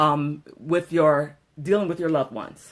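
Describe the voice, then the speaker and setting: A woman talking at a moderate pace. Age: 20s. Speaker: vlogger and direct sales seller. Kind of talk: casual livestream chat. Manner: soft, holding volume down for neighbors; animated, chatty.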